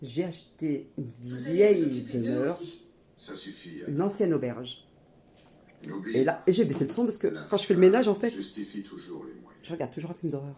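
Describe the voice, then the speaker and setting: Speaking at a fairly slow pace, a woman with a very deep, low pitch sounds animated, her pitch swinging very widely. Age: 50s. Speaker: YouTuber, homemaker mother. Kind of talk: cooking tutorial vlog. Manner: casual, informal.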